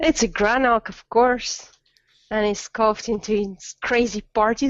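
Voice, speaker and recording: A woman's fairly high voice in a Belgian French accent, fairly slow, with fairly even intonation. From Belgium. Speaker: gaming video creator. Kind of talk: casual chat.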